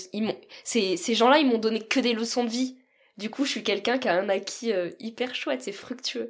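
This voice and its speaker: Speech comes at a moderate pace. The pitch rises and falls in an ordinary way. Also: woman, fairly high pitch for a woman. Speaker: guest telling adoption story. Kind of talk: personal testimony. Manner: smiling.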